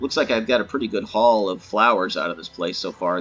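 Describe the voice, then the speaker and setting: A man with a fairly low pitch talks over music playing in the background. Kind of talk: gaming tutorial voice-over. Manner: hesitant, many filler words.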